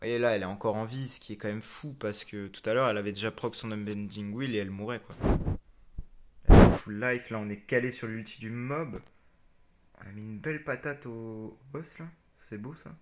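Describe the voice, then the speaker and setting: A man's medium-pitched voice at a fairly quick pace, fairly even intonation, big swings in loudness and long, frequent pauses. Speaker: gaming video creator. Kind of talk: gameplay commentary. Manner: fast.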